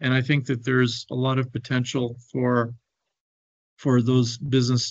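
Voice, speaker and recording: Speaking at a moderate pace, a man with a Canadian accent uses a medium pitch and a monotone, flat intonation. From Canada. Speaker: business consultant on Africa. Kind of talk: webinar presentation. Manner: hesitant, with fillers and repetitions.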